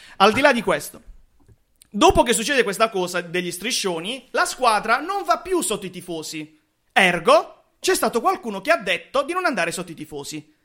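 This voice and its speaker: A man's raised, projected voice, high in pitch, bright and sharp in tone, animated, with very wide pitch swings at a moderate pace, on a very clean recording with a silent background. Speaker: football podcast host. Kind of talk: casual chat. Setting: studio.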